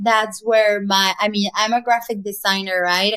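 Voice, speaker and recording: Her tone is bright and sharp, her pitch fairly high. This woman keeps her intonation fairly even. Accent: Spanish. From Mexico. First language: Spanish. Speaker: graphic designer, artist. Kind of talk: casual interview conversation. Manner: halting, many repetitions.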